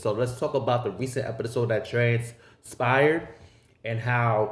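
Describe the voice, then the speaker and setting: A man with an American accent speaks in a medium pitch, sounding somewhat breathy. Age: 30s. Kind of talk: casual talk to camera. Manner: profane, animated.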